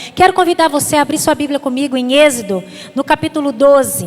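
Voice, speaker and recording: Over noticeable background noise, a woman talks at a high pitch and a fairly quick pace. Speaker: pastor. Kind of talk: sermon. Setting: church. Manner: fast; animated.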